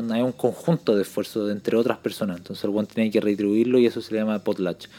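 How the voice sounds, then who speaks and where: A man speaks with a Chilean accent and a dark, mellow tone. His intonation stays fairly even. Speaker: podcast co-host. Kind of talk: casual chat.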